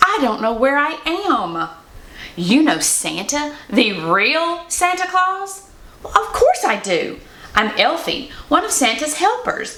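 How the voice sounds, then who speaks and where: Using a raised, projected voice, a woman speaks at a high pitch with very wide pitch swings. Her pace is very slow, and there is noticeable background noise. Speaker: Mrs. Claus performer. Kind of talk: children's picture book read-aloud.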